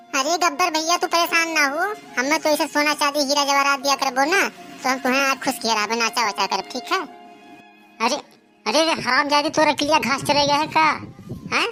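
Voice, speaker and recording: A woman does a cartoonish character voice at a high pitch. She moves at a fairly quick pace over clear background music. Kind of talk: comic rustic overacting. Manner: fast, loud, bantering.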